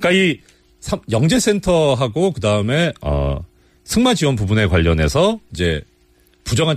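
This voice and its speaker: A man at a moderate pace with very wide pitch swings, over noticeable background noise. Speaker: former judge. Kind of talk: radio interview. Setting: studio. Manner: explanatory, formal.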